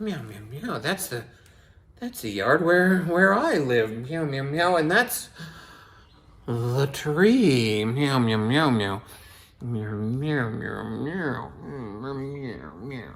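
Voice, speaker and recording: Very slowly, a man talks in a put-on character voice. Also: medium pitch for a man. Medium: read story. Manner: interjects meows.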